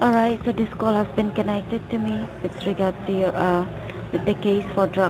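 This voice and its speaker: A woman talks at a moderate pace with ordinary pitch variation while noticeable background noise fills the clip. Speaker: phone scammer posing as a government agent. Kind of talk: scam phone call.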